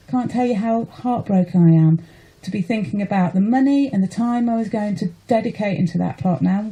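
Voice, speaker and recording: Over noticeable background noise, a woman speaks with passion at a fairly quick pace, her pitch varying in an ordinary way. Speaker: allotment holder, campaigner. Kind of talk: radio interview. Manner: emotional, passionate.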